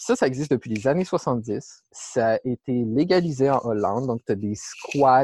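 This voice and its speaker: Over a dry, close sound with no echo, a man with a dark, mellow tone and medium pitch speaks at a very slow pace. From Quebec City region. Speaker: ecologist. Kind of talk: interview.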